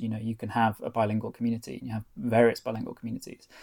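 A man with a North Welsh accent speaks at a medium pitch. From North Wales. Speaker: author and foreign correspondent. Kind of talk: interview.

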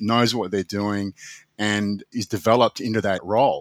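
This man speaks with an Australian accent at a moderate pace and medium pitch. The sound is dry and close, with no echo. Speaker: business owner and lawyer. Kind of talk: interview. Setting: remote call from office.

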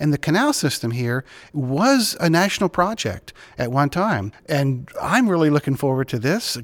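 Here is a plain, everyday voice from a man with fairly high pitch. He speaks at a fairly quick pace. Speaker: podcast host. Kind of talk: interview.

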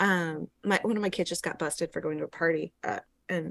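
A woman speaks at a fairly quick pace, with a dry, close sound and no echo. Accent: Pacific Northwest. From Yakima, eastern Washington. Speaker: performance artist. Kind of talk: casual chat. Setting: video call.

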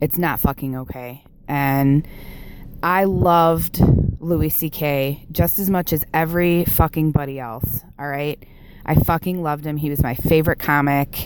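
Amid noticeable background noise, a woman with an American accent speaks slowly-ish, at a fairly slow pace, in a very deep, low pitch with fairly even intonation. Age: 30s. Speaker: listener caller. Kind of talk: voicemail testimony.

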